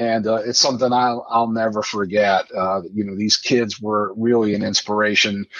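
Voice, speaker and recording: With an American accent and a normal speaking voice, a man talks at a moderate pace, his fairly low pitch following a fairly even intonation. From Midland, Michigan. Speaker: 9/11 diverted passenger. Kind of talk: interview, personal story.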